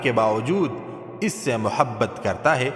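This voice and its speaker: There is noticeable background noise. A man speaks with lively intonation. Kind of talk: religious quotes narration.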